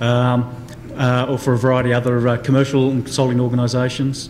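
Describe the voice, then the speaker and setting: A man with an Australian accent speaks at medium pitch. Audible room echo and noticeable background noise are present. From Australia, Sydney. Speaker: police forensics officer. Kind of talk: panel introduction. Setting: conference stage with audience. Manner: halting, many fillers.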